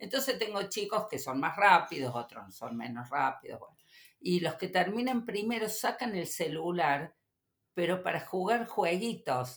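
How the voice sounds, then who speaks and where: Speaking with a Córdoba Argentine accent, a woman at medium pitch moves at a fairly slow pace with very wide pitch swings and big swings in loudness. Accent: Cordoban Argentine Spanish. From Córdoba, Argentina. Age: 50s. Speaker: teacher and YouTuber. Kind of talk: interview. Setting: studio.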